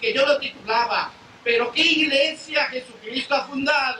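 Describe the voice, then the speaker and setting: An extremely high-pitched, raised and projected male voice with ordinary pitch variation over noticeable background noise. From Spain. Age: 70s. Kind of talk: testimony.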